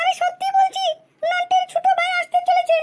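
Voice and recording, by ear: A woman does a squeaky, cartoonish character voice at an extremely high pitch. Her intonation is monotone and flat, and her pace is moderate.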